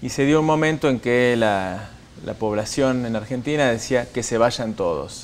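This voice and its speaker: There is light background noise as a man talks at a moderate pace. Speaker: guest. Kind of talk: interview answer. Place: studio. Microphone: lapel.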